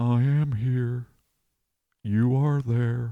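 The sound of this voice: A man puts on a nasal character voice at a medium pitch.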